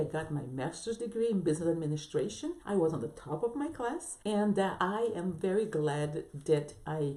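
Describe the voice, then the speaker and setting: Through noticeable background noise, a woman with a non-native accent talks at a moderate pace, her pitch swinging very widely. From abroad, non-English-speaking country. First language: not English. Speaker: business coach and entrepreneur. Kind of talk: motivational vlog talk. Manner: halting, with restarts and fillers.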